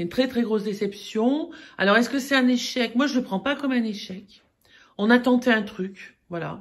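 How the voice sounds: A woman speaks at a moderate pace. Her voice carries vocal fry.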